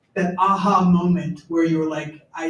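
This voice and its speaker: With an American accent, the speaker goes at a moderate pace in a monotone, flat intonation. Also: man. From United States. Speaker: graduate student, audience member. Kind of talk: audience question. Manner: loud.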